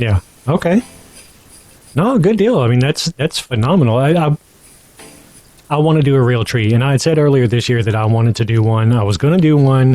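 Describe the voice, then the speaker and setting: A man at medium pitch talks at a fairly quick pace with lively intonation, very even loudness and long, frequent pauses, in a dry, close sound with no echo. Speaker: podcast host. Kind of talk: casual chat. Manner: fast.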